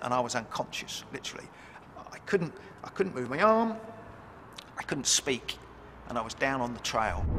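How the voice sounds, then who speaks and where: A man with a medium pitch speaks at a moderate pace, leaving long, frequent pauses. Noticeable background noise runs underneath. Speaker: stroke survivor, former military man. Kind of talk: testimony. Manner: halting.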